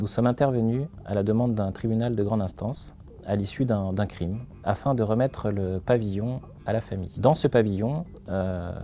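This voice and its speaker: Low in pitch, a man speaks with a dark, mellow tone. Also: ordinary pitch variation, moderate pace. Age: 30s. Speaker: company founder, crime scene cleaner. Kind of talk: interview testimony. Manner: hesitant, many filler sounds.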